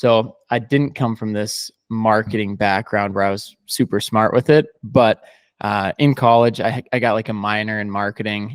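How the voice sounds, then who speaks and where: A man with a fairly low pitch speaks at a moderate pace with fairly even intonation, in a plain, everyday voice. The sound is dry and close with no echo, on a very clean recording with a silent background. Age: 20s. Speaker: digital marketing agency founder. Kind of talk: podcast interview.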